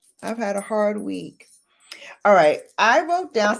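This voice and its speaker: Speaking fairly slowly in an American accent, a woman has an animated tone. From Brooklyn, New York, US. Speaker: beauty YouTuber. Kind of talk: casual livestream chat.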